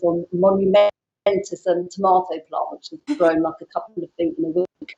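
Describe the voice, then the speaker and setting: A woman of medium pitch talks in a British accent. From Britain. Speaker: photographer and public speaking mentor. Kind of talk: casual interview chat. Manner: fast.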